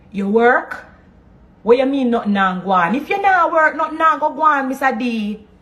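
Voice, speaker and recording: With a Jamaican accent, a woman speaks at a moderate pace in a high pitch that makes very wide swings. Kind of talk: motivational talk.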